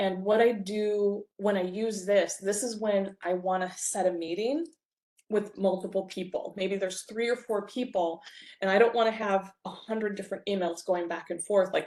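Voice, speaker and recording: Over a quiet background, a woman talks at a moderate pace. Her intonation stays fairly even. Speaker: bookkeeper and software trainer; software trainer. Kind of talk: webinar presentation. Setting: online webinar. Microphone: video call.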